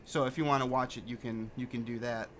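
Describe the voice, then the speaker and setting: The man talks at a fairly quick pace. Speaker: gaming lore video creator. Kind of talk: gameplay commentary. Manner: soft-spoken.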